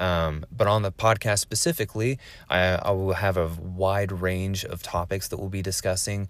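Recorded very cleanly against a silent background, a man with a West Coast accent speaks at a very deep, low pitch and a moderate pace, with fairly even intonation. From US West Coast, Oregon. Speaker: military veteran and podcast host. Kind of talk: solo podcast monologue. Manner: casual with filler words.

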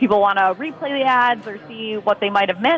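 Noticeable background noise behind a woman's fairly high voice with ordinary pitch variation. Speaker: Google Trends expert. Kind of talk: casual chat. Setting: phone call.

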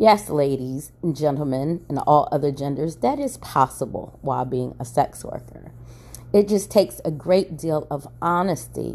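With an American accent, a woman speaks at a moderate pace in a very deep, low pitch, using lively intonation, vocal fry and a dark, mellow tone. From Maryland. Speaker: podcast host. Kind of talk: casual monologue.

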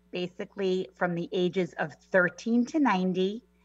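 In a New York accent, a woman speaks at a medium pitch with lively intonation. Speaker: personal stylist. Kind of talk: casual interview chat.

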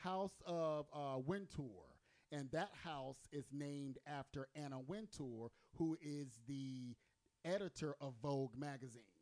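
A man in an ordinary speaking voice talks at a fairly slow pace and fairly high pitch, with ordinary pitch variation. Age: 40s. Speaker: podcast host. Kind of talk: casual chat. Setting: studio.

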